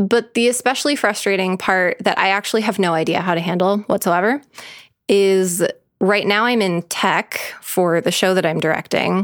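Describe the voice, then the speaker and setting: With a normal speaking voice, a woman talks at a moderate pace and medium pitch, showing ordinary pitch variation and very even loudness. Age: 30s. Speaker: podcast co-host. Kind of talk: casual chat. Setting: living room.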